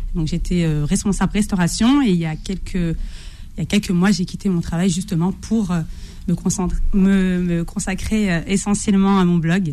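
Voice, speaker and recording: A woman in a normal speaking voice, medium in pitch, with fairly even intonation at a fairly slow pace. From Algerian heritage, France. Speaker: pastry book author, food blogger. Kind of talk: radio interview.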